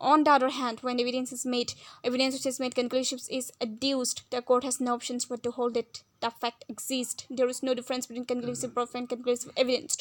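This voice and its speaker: A woman's high-pitched voice, monotone and flat in intonation, at a very fast pace. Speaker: law tutor. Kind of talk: educational lecture.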